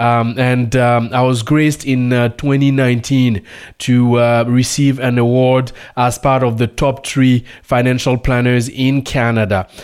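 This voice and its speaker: In a French accent, a man speaks at a very slow pace with monotone, flat intonation and very even loudness. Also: medium pitch for a man. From Burkina Faso. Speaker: radio host. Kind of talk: radio show monologue. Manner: halting.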